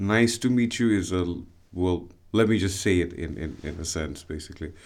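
A man with a Bengali accent at a fairly slow pace, with ordinary pitch variation. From Bangladesh, Dhaka. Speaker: podcast guest, artist. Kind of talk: interview conversation. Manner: halting, many fillers and repetitions.

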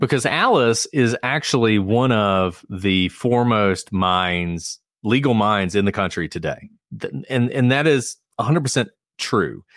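At a fairly slow pace, a man with an ordinary speaking voice talks at a medium pitch with ordinary pitch variation. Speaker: former prosecutor and true crime podcast co-host. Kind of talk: casual chat. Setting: online video call. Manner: jokey.

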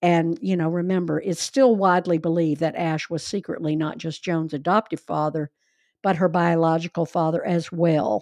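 Recorded with a dry, close sound with no echo, a woman uses a normal speaking voice at a fairly low pitch, moving at a moderate pace with ordinary pitch variation. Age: 60s. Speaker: podcast host. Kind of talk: casual storytelling conversation.

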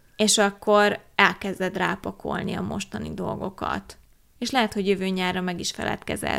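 Here a woman talks at a moderate pace. The recording is very clean and the background silent. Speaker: podcast co-host. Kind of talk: casual chat. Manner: outspoken.

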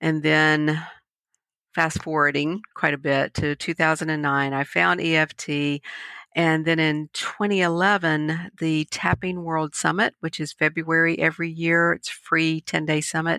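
A woman speaks at a very deep, low pitch in a bright, sharp tone, at a fairly slow pace. Her intonation is monotone and flat, and the sound is dry and close with no echo. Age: 50s. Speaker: EFT practitioner and meditation teacher. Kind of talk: interview conversation.

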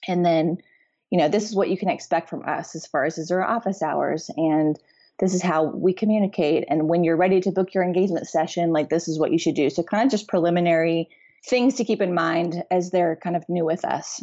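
Fairly low in pitch, this woman has an ordinary speaking voice. Her intonation stays fairly even. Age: 30s. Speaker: wedding photographer. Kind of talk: casual interview chat.

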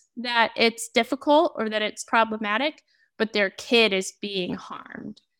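A woman speaks in a high pitch with a bright, sharp tone and very wide pitch swings. Her pace is fairly slow. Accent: American. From Oregon, US. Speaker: author and adoptee advocate. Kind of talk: interview.

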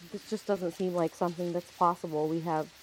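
At a moderate pace, a woman with a plain, everyday voice speaks in a fairly low pitch. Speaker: player character in tabletop game. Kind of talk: in-character roleplay, casual gaming chat.

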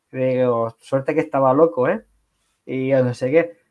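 A man speaks in an unremarkable speaking voice at a medium pitch. His pace is fairly slow and his intonation fairly even. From Catalonia, Barcelona. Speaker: e-commerce entrepreneur. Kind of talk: interview.

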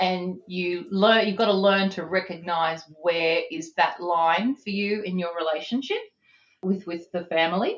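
A woman with an Australian accent, medium-pitched, at a fairly slow pace. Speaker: business executive. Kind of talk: interview.

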